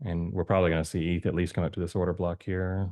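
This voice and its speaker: A man speaks at a very deep, low pitch. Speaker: crypto chart analyst youtuber. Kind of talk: casual chart analysis commentary. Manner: fast; hesitant, many fillers.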